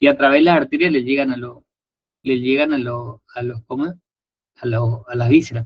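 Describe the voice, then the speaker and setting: A man at a medium pitch, somewhat breathy, with fairly even intonation and long, frequent pauses. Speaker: anatomy tutor. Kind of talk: lecture. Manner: fast.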